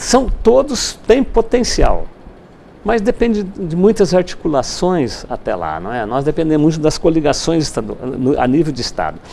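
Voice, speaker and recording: A man at a moderate pace against noticeable background noise. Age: 60s. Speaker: university rector and politician. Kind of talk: TV interview.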